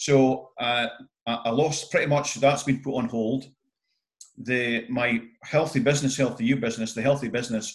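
Using fairly even intonation, a man talks at a moderate pace and medium pitch. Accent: Scottish. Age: 50s. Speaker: entrepreneur and event MC. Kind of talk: interview.

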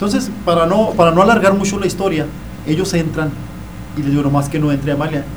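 Amid noticeable background noise and audible room echo, a high-pitched man talks at a very fast pace with ordinary pitch variation. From Chihuahua, Mexico. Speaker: author recounting paranormal experiences. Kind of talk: testimony. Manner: halting, repeats words.

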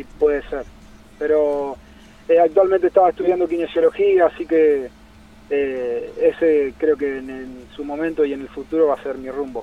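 A man with a Santa Fe Argentine accent talks at a moderate pace with a fairly high pitch and fairly even intonation. His loudness swings widely, over noticeable background noise. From Argentina, Santa Fe city. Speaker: national team kayaker. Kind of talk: interview. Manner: halting, many repetitions.

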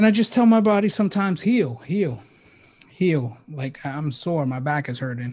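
A man talks in an energetic tone with lively intonation and a somewhat breathy voice. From New York, the Bronx (Puerto Rican family). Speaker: cybersecurity researcher. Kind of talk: casual interview chat.

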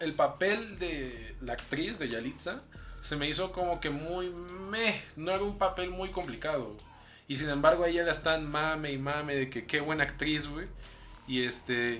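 A fairly high-pitched man's voice at a fairly slow pace, ordinary pitch variation and audible room echo. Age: young. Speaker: podcast co-host. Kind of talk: casual chat. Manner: soft-spoken.

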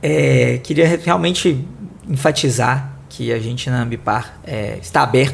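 Audible room echo surrounds a man who talks very slowly. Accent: Minas Gerais. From Belo Horizonte, Minas Gerais, Brazil. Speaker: corporate sustainability director. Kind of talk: panel discussion. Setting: studio.

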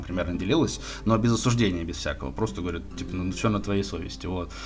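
A man speaks very fast at a fairly low pitch over noticeable background noise. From Moscow, Russia. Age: 20s. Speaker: podcast guest, sports bettor. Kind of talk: casual chat. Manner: halting, many filler words.

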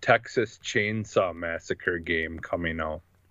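A man with an American accent speaks very slowly over a quiet background. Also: dry, close sound with no echo. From Wisconsin. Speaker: gaming podcast co-host. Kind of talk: casual chat.

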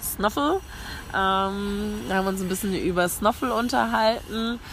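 Medium in pitch, a woman talks at a fairly slow pace. Background noise is noticeable. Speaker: travel podcaster. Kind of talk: casual monologue. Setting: outdoors on a café rooftop terrace. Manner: animated.

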